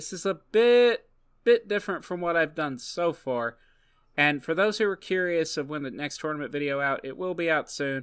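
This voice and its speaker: Speaking at a moderate pace, a man with a bright, sharp tone and lively intonation comes through on a very clean recording with a silent background. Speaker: gaming YouTuber. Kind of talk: gameplay commentary outro. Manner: halting.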